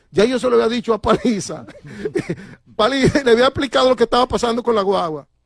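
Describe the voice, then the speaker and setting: At a very fast pace yet with long, frequent pauses, a man speaks at an extremely high pitch with ordinary pitch variation. The sound is dry and close, with no echo. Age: 60s. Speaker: transport union leader. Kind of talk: interview. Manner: animated.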